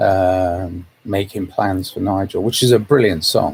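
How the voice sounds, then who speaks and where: A man speaks at a very deep, low pitch. His voice is somewhat breathy. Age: 60s. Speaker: vlogger. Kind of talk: casual monologue. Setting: livestream. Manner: halting.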